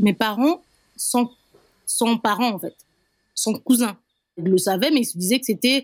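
A woman with a fairly high voice speaks at a fairly slow pace, with long, frequent pauses. Her pitch varies in an ordinary way, and the sound is dry and close with no echo. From Republic of the Congo, Brazzaville. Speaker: interviewee sharing life story. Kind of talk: personal testimony interview. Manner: hesitant with fillers.

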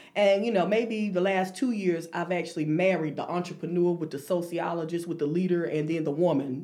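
A woman talks at a fairly quick pace with hardly any pauses, fairly low in pitch with fairly even intonation. Noticeable background noise and audible room echo fill the recording. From North Carolina (Thomasville). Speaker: financial consultant. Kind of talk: interview. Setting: studio.

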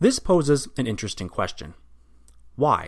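A man's voice at a moderate pace with very wide pitch swings. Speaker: podcast host. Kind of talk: history documentary narration. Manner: formal, measured, even-paced narrator.

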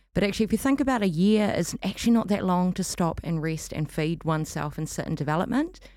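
Here a woman talks very fast at medium pitch, with lively intonation and a New Zealand accent. The recording is very clean, with a silent background. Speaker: arts festival director and performance artist. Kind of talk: casual interview. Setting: studio.

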